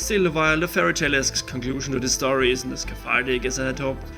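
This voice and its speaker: A man with a non-native accent speaks at a very fast pace. Music plays in the background. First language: not English. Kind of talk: casual book review to camera.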